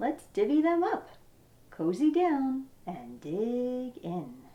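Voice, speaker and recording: A female-sounding voice puts on a character voice, pitched high with very wide pitch swings. The delivery comes at a very slow pace. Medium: read story.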